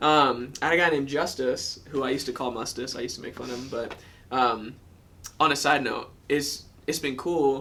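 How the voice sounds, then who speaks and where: Fairly high-pitched male speech, bright and sharp in tone, fairly quick with fairly even intonation, big swings in loudness, and audible room echo. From US South, Georgia. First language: German. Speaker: former college wrestler. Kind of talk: testimony. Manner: casual with many fillers.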